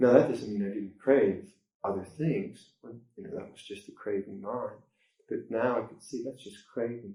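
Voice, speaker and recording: A man's somewhat breathy voice has a dark, mellow tone at a medium pitch, with big swings in loudness. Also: moderate pace. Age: 60s. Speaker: Buddhist monk teacher. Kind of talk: dharma talk. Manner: halting.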